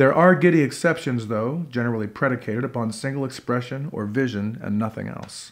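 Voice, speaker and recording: Gravelly and theatrical, a man talks at a fairly quick pace with ordinary pitch variation against a quiet background. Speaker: performance poet and actor. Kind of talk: poem performed. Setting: living room concert with audience. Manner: gritty, rhythmic, theatrical delivery. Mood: wry, sardonic, deliberate. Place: home room.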